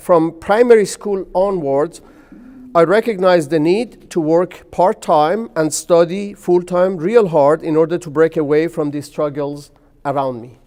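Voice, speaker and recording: A man's high, dark, mellow voice with a Persian accent, fairly slow, with ordinary pitch variation. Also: big swings in loudness. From Iran, Tehran. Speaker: chemistry professor. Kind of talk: interview. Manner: hesitant, frequent uh fillers.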